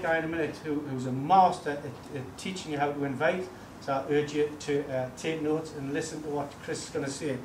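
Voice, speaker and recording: A man's fairly high voice with audible room echo and noticeable background noise. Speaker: network marketing speaker. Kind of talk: motivational talk to a seminar audience. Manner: animated.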